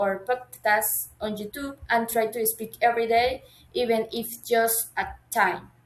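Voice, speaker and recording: At a fairly slow pace, a woman speaks in a fairly high pitch with a Colombian accent. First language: Spanish. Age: 20s. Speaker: university language student. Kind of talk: class assignment video monologue. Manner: halting, with self-corrections.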